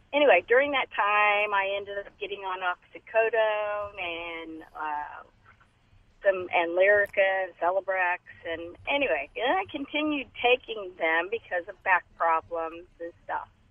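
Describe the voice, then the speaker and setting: A woman with an unremarkable speaking voice talks at a medium pitch and a fairly slow pace, her intonation lively and her loudness swinging widely. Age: 60s. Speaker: caller. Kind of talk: call-in question. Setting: phone call from car via Bluetooth. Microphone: car Bluetooth phone line.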